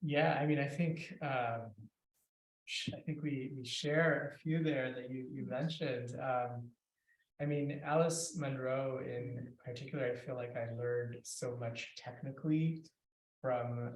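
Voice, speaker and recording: A somewhat breathy man's voice at medium pitch, fairly slow and with fairly even intonation, with audible room echo. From India, Kolkata. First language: Bengali. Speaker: fiction writer. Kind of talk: author conversation at a reading event.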